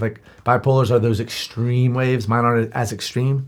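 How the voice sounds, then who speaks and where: The delivery is very fast and monotone, with flat intonation throughout. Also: man. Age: 30s. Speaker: podcast host. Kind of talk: casual chat. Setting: studio.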